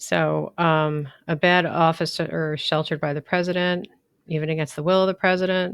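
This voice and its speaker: In a very clean recording with a silent background, a woman with a plain, everyday voice speaks at a fairly low pitch with fairly even intonation. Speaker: law instructor. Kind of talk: lecture.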